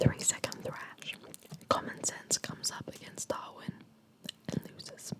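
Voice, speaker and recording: A woman whispers at a fairly slow pace with long, frequent pauses and big swings in loudness, over noticeable background noise. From Spanish and Australian. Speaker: ASMR creator. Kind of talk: ASMR reading of philosophy. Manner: whispered, soft.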